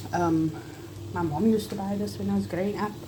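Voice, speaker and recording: Against audible room echo, a woman talks at a fairly quick pace with very wide pitch swings. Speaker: food vlogger. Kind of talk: cooking tutorial. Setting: home kitchen. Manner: loud; animated.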